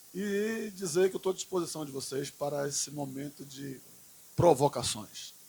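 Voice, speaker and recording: In a Bahian accent, the voice carries a dark, mellow tone and sounds somewhat breathy. Its intonation is lively, and the loudness swings widely. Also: man, fairly high pitch for a man, moderate pace. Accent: Bahian Brazilian Portuguese. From Bahia, Recôncavo Baiano. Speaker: politician and teacher. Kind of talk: podcast interview. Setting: school event with live audience.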